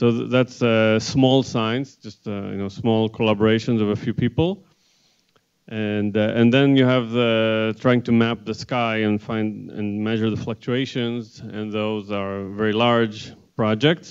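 A man talks at a fairly slow pace in a monotone, flat intonation. The background is quiet. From Israel. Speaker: theoretical cosmologist; panelist. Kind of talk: panel presentation. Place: classroom. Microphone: handheld.

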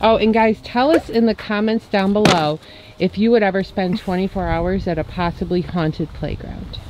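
A woman talks at a moderate pace with a medium pitch and ordinary pitch variation. The sound is dry with no echo, over noticeable background noise. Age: 40s. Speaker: family YouTube vlogger. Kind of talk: casual vlog chat. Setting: outdoors at a playground. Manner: animated. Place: open country. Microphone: phone near.

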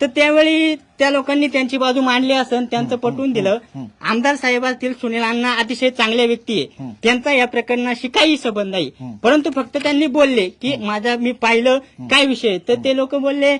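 A man with an extremely high pitch talks with fairly even intonation. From Ovale village, Maval, Pune district, Maharashtra. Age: 20s. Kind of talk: interview testimony. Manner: trembling.

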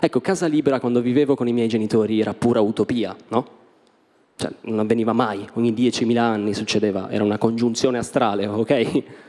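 Over a quiet background, a man with a dark, mellow tone speaks at a fairly quick pace with fairly even intonation. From Italy. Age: 20s. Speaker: stand-up comedian. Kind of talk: stand-up. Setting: stage with audience. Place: stage. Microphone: handheld.

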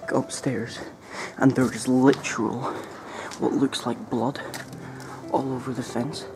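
A man speaks fairly slowly. Background music plays behind him. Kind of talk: casual vlog chat. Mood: wary, hushed exploration. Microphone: phone near.

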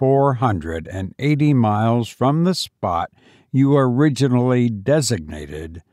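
The background stays quiet while someone is reading aloud in a natural voice.

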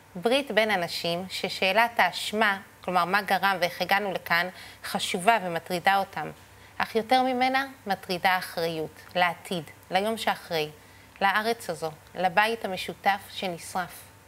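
A woman's bright, sharp, solemn tone at a fairly slow pace, with ordinary pitch variation. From Israel. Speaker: rally speaker. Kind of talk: rally speech, earnest political address to a crowd. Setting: stage with audience at a rally. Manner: solemn, measured and sincere, reflective yet firm. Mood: earnest, grave. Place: studio.

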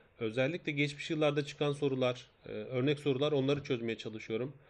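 An ordinary speaking voice at a moderate pace. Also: man. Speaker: math teacher. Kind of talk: live online lesson. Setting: live stream.

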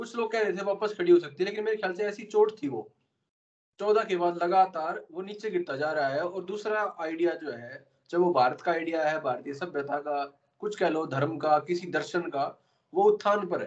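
This man talks at a moderate pace with a high pitch and ordinary pitch variation. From Haryana. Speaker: podcast host. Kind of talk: interview. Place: home room. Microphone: video call.

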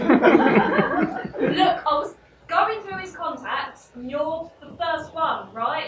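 A woman talks at a very slow pace with noticeable background noise behind her. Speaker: stage actor in a one-woman play. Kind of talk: theatrical monologue, including one side of phone calls. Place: stage. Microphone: camera far.

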